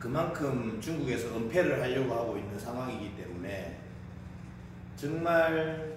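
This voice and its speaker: Fairly slow speech from a man, with noticeable background noise and audible echo from the room. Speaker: table tennis coach. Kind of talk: casual vlog chat. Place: gym. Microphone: camera far.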